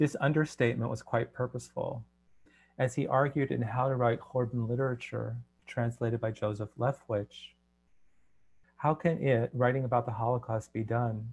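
This man's voice is somewhat breathy, with fairly even intonation. He talks at a moderate pace. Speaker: translator and poet. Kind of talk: presentation. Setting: video call. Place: home room. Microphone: headset.

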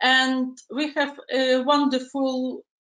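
Audible room echo surrounds a woman speaking at a high pitch against a quiet background. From Ukraine. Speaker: dog photographer. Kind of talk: interview, partly prepared self-promotion. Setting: video call. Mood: calm, friendly. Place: home room. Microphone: video call.

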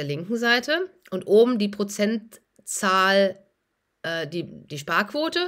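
Over a quiet background, a woman at a medium pitch lets her voice swing very widely. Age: 40s. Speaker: doctor and finance YouTuber; finance YouTuber. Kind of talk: casual vlog monologue. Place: home room. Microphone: phone near.

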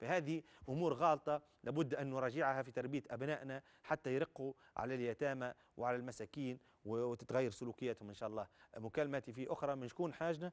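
Quiet surrounds this male voice. He talks at a fairly quick pace. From Tunisia. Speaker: religious scholar answering callers; caller. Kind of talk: call-in religious Q&A. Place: studio. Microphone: lapel.

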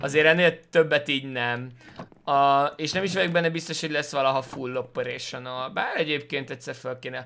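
Fairly high-pitched and bright, sharp in tone, a man moves at a fairly quick pace with fairly even intonation over light background noise. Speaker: gaming streamer. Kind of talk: let's play commentary. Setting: home. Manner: halting.

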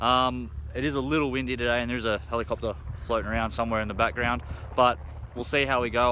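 A man's very fast speech with vocal fry, dry with no echo, over light background noise. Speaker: car salesman. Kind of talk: casual sales walkthrough. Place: open country. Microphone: phone near.

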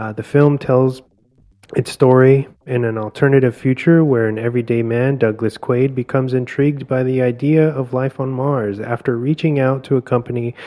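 A man speaks at medium pitch and a moderate pace, his intonation fairly even. His tone is dark and mellow, and the sound is dry and close with no echo. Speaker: podcast host and film reviewer. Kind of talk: casual film review chat.

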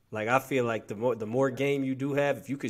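Behind a man's speech, the background stays quiet. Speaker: podcast host. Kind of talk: casual chat. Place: home room.

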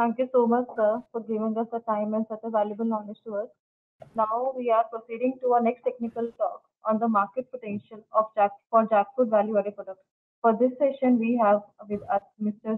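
A woman speaks at a fairly quick pace. Her intonation is monotone and flat. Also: fairly high pitch for a woman. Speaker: webinar moderator. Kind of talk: formal speaker introductions. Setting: video call. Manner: formal. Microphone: video call.

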